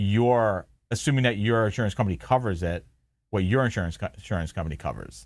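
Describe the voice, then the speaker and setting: A man with a Long Island accent talks fairly quickly at a medium pitch with lively intonation. The recording is very clean, with a silent background. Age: 40s. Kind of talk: casual chat. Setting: live stream from home basement.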